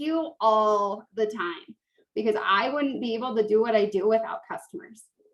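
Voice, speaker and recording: A woman speaks at a moderate pace in an unremarkable speaking voice. Her pitch sits fairly high, with ordinary pitch variation. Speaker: direct sales team leader. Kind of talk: tutorial.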